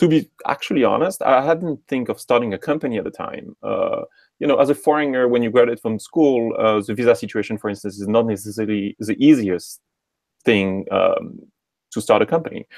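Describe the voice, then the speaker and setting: In a French accent, a man talks fairly quickly at medium pitch with lively intonation, the sound dry and close with no echo. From France, Normandy. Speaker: tech startup co-founder. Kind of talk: interview.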